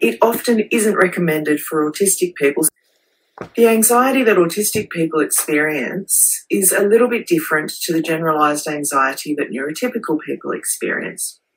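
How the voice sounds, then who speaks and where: Fairly low in pitch, a woman speaks with an Australian accent. Her intonation is lively. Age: 40s.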